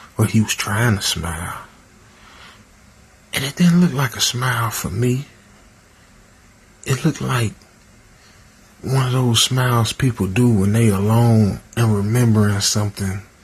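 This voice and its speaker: A man at medium pitch, talking at a fairly slow pace with long, frequent pauses over noticeable background noise. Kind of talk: sleep story / first-person horror narration. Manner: casual, conversational.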